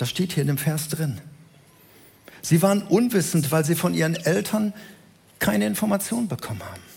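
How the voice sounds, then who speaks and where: Vocal fry and very wide pitch swings at a moderate pace, with long, frequent pauses. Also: man, fairly high pitch for a man. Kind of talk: sermon. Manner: didactic, earnest, building to rhetorical questions and emphatic repetition; explanatory, measured pace, direct address to the congregation.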